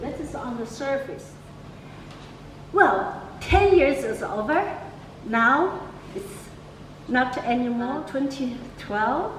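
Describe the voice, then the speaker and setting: Speaking very slowly in a Chinese accent, a woman uses a high pitch and lively intonation, with audible room echo around her. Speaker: artist and curator. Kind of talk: opening speech. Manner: halting.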